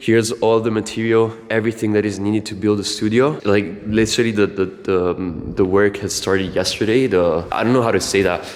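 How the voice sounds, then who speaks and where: In an Italian accent, a man with a fairly low pitch speaks at a fairly quick pace with fairly even intonation and hardly any pauses. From Italy. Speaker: music producer and collective co-founder. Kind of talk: casual vlog. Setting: recording studio. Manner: halting.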